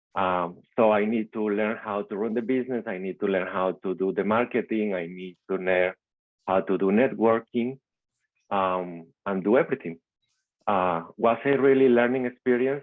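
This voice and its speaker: A man with a Venezuelan accent talks at a fairly low pitch with ordinary pitch variation. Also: moderate pace. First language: Spanish. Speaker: immigrant small-business owner and real estate investor. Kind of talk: personal success story in a video call meetup. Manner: halting, with frequent repetitions.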